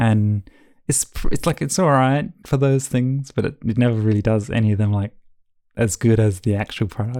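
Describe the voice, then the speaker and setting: A man with an Australian accent speaks at a moderate pace and medium pitch. His pitch varies in an ordinary way and his loudness stays very even. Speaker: travel and packing content creator. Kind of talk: casual interview. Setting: video call.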